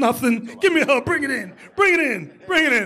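In a put-on character voice, the speaker talks at a high pitch and a fairly quick pace. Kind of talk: playful banter during sermon. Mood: laughing, affectionate.

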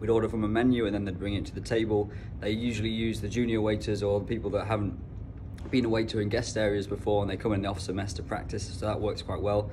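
Noticeable background noise sits behind a man speaking at a very fast pace. His pitch is fairly low and his intonation fairly even. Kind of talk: casual vlog chat. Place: cafe. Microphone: phone near.

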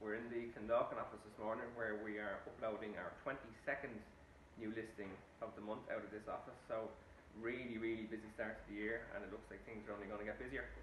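A man at medium pitch, with light background noise and audible room echo. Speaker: estate agent. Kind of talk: corporate promotional talk to camera. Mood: upbeat, professional. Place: office. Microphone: phone near.

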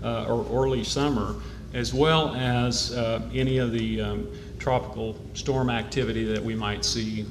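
A man speaks at a fairly slow pace. Noticeable background noise runs behind him. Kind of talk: prepared public update. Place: hall. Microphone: podium.

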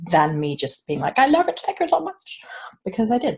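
A woman speaks at a fairly quick pace with a somewhat breathy voice. The background is quiet. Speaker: unboxing vlogger. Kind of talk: casual vlog chat. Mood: warm, excited. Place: home room. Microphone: earbuds.

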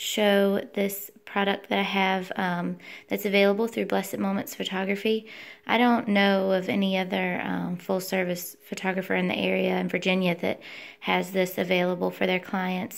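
Here a woman talks at a moderate pace. Her intonation is fairly even. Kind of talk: product demonstration. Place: home room. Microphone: phone near.

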